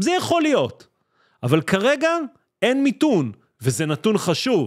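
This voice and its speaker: A man speaks in an animated tone with very wide pitch swings. The background is quiet. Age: 40s. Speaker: stock market YouTuber. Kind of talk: market analysis video. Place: studio. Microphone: studio mic.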